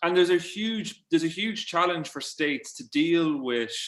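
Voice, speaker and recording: A man speaks with an Irish accent and lively intonation. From Ireland, midlands. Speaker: journalist and author. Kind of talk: panel discussion webinar. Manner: halting, many repetitions.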